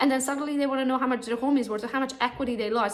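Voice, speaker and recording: A woman's high-pitched voice with a Romanian accent, ordinary pitch variation, noticeable background noise and audible room echo. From Romania, Transylvania. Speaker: real estate agent and social media trainer. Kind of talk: conference talk.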